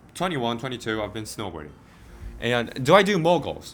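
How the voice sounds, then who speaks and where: Music plays in the background as a man speaks with a Korean accent. His medium pitch has lively intonation. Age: 20s. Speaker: medical student and vlogger. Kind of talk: casual Q&A chat. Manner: halting.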